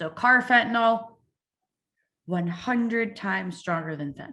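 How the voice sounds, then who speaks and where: Her tone is bright and sharp. The woman shows ordinary pitch variation. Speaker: addiction prevention speaker. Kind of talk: conference presentation. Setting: virtual event. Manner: fast.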